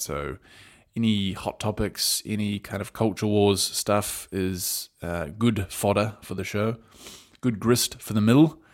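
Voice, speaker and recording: The voice carries an Australian accent and ordinary pitch variation on a very clean recording with a silent background. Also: man. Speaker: podcast host. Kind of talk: solo commentary podcast. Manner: casual, rambling, conversational.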